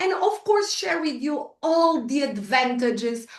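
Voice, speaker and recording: The speaker has a Portuguese accent. The intonation is lively. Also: woman. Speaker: entrepreneur and business trainer. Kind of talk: workshop talk. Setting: online video call. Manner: hesitant, with fillers and repetitions.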